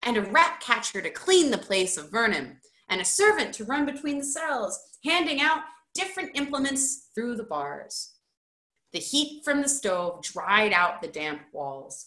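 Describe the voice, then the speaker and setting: A woman's raised, projected voice, high in pitch and bright and sharp in tone, with very wide pitch swings at a fairly slow pace, against a quiet background with audible room echo. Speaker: high school teacher. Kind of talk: children's book read-aloud. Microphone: webcam.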